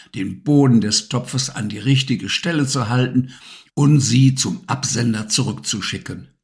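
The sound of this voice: An unforced reading voice, pitch shifting in the ordinary way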